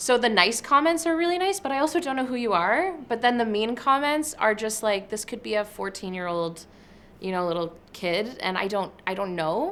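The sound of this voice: Speaking at a moderate pace, a woman has a fairly high pitch, a fairly bright tone and ordinary pitch variation.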